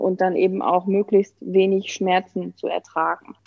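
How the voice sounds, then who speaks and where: A woman's medium-pitched voice at a moderate pace. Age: 30s. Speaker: pregnant guest. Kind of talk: casual interview.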